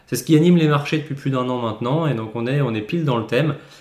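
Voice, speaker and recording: In a room with audible echo, a man talks at a medium pitch with ordinary pitch variation. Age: 20s. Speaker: podcast host, portfolio manager. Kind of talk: solo market commentary. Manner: casual, hesitant with frequent repetitions.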